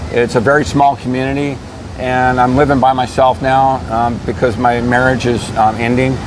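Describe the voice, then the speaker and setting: Fairly even intonation comes through over noticeable background noise and audible room echo. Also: man, medium pitch for a man, moderate pace, very even loudness. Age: 60s. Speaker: interviewee. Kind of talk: interview. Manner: halting.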